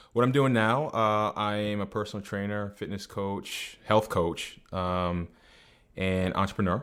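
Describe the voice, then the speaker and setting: With a slight Boston accent, a man speaks at a fairly slow pace and fairly low pitch, his intonation fairly even, on a very clean recording with a silent background. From New England. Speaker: personal trainer. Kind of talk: podcast interview.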